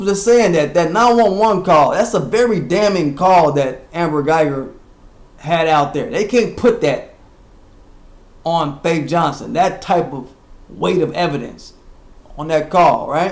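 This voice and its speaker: Loud, lively speech comes at a fairly slow pace with long, frequent pauses and audible room echo. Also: man, high pitch for a man. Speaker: internet radio host. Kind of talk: casual commentary livestream.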